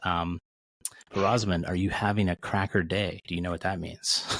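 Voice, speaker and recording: In an American accent, a man with a very deep, low pitch talks at a moderate pace with fairly even intonation, on a very clean recording with a silent background. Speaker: recovery coach and podcast host. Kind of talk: casual chat.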